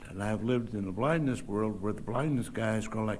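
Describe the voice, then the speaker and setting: A man at a moderate pace, with audible room echo. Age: 70s. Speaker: public commenter. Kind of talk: public comment.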